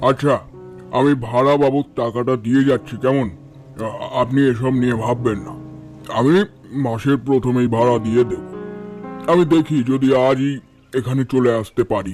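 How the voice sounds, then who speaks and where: A man puts on a character voice at a moderate pace, with faint music in the background. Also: medium pitch for a man. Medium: audio drama. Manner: calm, reserved.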